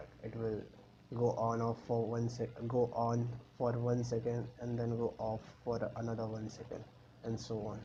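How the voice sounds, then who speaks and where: Somewhat breathy, a man's voice sits at a medium pitch with a dark, mellow tone. He keeps a flat monotone at a moderate pace. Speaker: electronics tutorial maker. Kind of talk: tutorial screencast narration. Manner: casual, hesitant.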